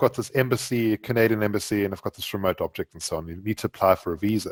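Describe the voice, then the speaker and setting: A man with a South African accent talks at a very fast pace in a dry, close sound with no echo, on a very clean recording with a silent background. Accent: South African, noticeable. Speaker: Java programmer and author. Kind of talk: podcast interview. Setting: podcast recording. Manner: animated.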